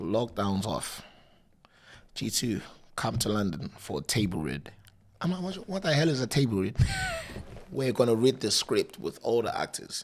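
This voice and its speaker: Noticeable background noise sits behind a man speaking at a medium pitch and moderate pace. His pitch swings very widely, and he takes long, frequent pauses. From Africa. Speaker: DJ and content creator. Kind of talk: casual interview chat. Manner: loud, animated.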